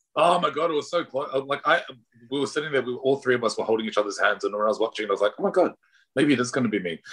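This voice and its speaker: Lively intonation from a man with an Australian accent, fairly high pitch, very fast pace. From Pacific Islander raised in Australia. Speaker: drag performer and artist. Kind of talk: casual interview. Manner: animated.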